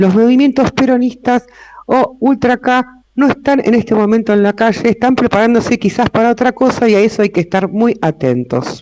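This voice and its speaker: At a moderate pace, a man with an Argentine accent speaks at an extremely high pitch, his intonation fairly even and his loudness very even, in a dry, close sound with no echo. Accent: Rioplatense Argentine Spanish. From Argentina, Buenos Aires city. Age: 60s. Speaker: lawyer and notary, invited speaker. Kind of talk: public talk to a live audience. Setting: room with live audience.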